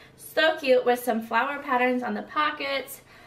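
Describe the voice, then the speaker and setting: Here a woman speaks with a high pitch. She keeps a moderate pace. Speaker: lifestyle vlogger. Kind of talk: casual haul vlog chat. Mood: cheerful, upbeat. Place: home room. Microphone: camera far.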